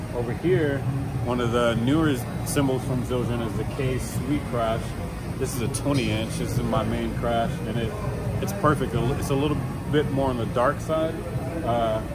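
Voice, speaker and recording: Loud background noise sits behind the audio. A man speaks at a moderate pace with long, frequent pauses. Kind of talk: gear rundown talk. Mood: relaxed, upbeat. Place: stage. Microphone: camera far.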